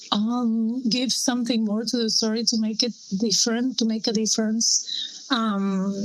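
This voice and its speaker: The speaker talks at a fairly slow pace with a Spanish accent, monotone, flat intonation, and very even loudness, against noticeable background noise. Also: woman, fairly high pitch for a woman. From Spain. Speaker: film director. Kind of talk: interview. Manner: halting.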